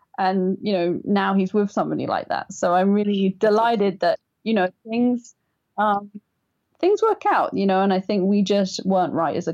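Speaking at a moderate pace, a woman talks with an English accent. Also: very even loudness. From England. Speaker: writer, designer and caregiver. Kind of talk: interview.

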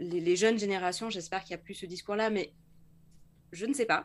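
A woman at a moderate pace, medium in pitch, on a very clean recording with a silent background. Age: 40s. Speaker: entrepreneur and LinkedIn coach. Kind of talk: interview. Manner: halting.

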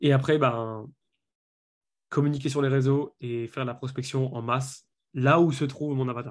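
A man speaks at a moderate pace in a flat monotone at a medium pitch, with long, frequent pauses. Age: 20s. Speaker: business coach. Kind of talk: interview.

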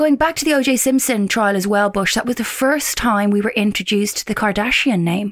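A woman with an English accent, fairly high-pitched and fairly quick, with ordinary pitch variation, hardly any pauses and very even loudness, over noticeable background noise. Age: 30s. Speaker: podcast co-host. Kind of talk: casual chat. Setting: video call.

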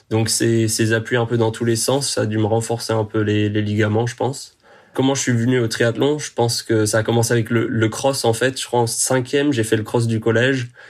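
A man talks at a moderate pace in a flat monotone. Noticeable background noise runs underneath. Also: medium pitch for a man. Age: 20s. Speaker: professional triathlete and engineering student. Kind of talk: podcast interview.

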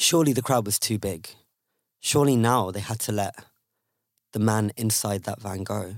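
A fairly low-pitched man with ordinary pitch variation and long, frequent pauses. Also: moderate pace. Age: 20s. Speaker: activist. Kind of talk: storytelling.

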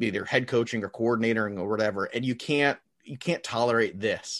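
In an ordinary speaking voice, a man talks at a medium pitch and a fairly quick pace, with ordinary pitch variation. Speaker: NFL podcast guest. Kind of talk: casual chat about football.

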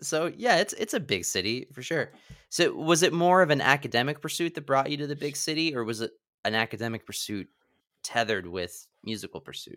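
This man's voice is fairly high, bright and sharp, with vocal fry, very wide pitch swings and a fairly quick pace. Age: 30s. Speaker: podcast host. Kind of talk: casual chat. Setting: video call.

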